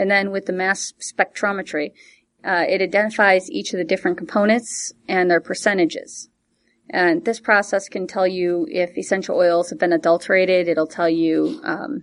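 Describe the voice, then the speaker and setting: A normal speaking voice moves at a moderate pace with ordinary pitch variation. The background is quiet. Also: woman, medium pitch for a woman. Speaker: essential oils distributor. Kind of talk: casual chat.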